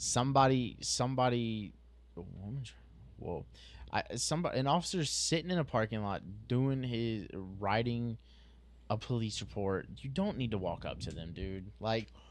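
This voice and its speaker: At a moderate pace, a man with a medium pitch speaks with lively intonation. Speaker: police officer, podcast co-host. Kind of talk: casual chat. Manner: halting.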